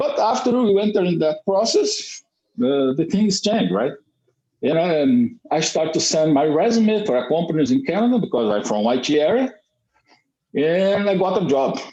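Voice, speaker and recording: A man's high voice in a southern Brazilian accent, at a moderate pace, with very wide pitch swings and very even loudness. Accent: Brazilian gaúcho accent in English. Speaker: Brazilian emigrant to Canada. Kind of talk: casual chat in English practice group. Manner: halting.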